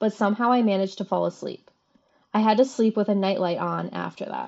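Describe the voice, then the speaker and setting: In a normal speaking voice, a woman of medium pitch talks at a fairly quick pace with fairly even intonation over a quiet background. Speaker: podcast co-host. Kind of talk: casual chat.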